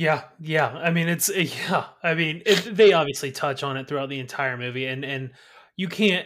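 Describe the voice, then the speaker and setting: A man with an American accent speaks at a moderate pace and fairly high pitch, with ordinary pitch variation and an ordinary speaking voice, on a very clean recording with a silent background. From eastern North Carolina. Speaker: co-host of a movie podcast. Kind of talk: casual chat. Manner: relaxed, conversational, repeats words.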